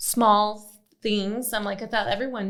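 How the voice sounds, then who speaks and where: A woman speaks at a medium pitch in an American accent. Room echo is audible. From Arizona, Phoenix. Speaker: podcast host. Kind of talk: podcast interview.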